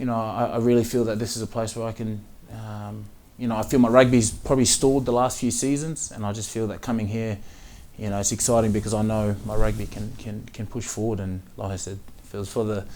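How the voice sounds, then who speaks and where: A man's very fast, monotone voice with flat intonation, fairly low in pitch and dark, mellow in tone, in an Australian accent with audible room echo. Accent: Australian, a bit of a twang. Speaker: professional rugby player. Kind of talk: interview. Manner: halting, many fillers and repeats.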